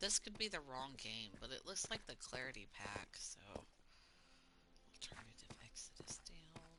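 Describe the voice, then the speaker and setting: A woman with an American accent whispers at a fairly slow pace, leaving long, frequent pauses. Her loudness swings widely. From US South. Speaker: gaming streamer. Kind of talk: casual gameplay commentary. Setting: live stream. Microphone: choppy audio from internet problems.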